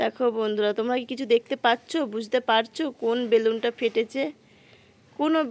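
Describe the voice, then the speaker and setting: Fairly even in intonation, an ordinary speaking voice comes across with a dry, close sound and no echo. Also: woman. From West Bengal, Murshidabad. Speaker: vlogger. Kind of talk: casual vlog narration. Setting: outdoors at a village fair.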